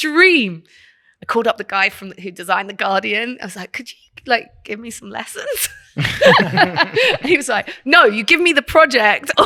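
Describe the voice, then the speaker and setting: With a British accent, a woman speaks at a moderate pace in a bright, sharp tone with very wide pitch swings. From England. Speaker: creative director. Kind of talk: casual chat.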